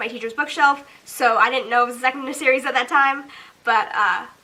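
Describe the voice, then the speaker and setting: A woman talks in a raised, projected voice, high in pitch for a woman. Her tone is bright and sharp. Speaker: booktuber. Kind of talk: casual talk to camera. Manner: rising intonation, sounds like asking questions; hesitant, says um often.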